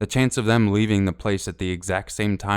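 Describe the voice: The voice gives a plain reading aloud with fairly even intonation.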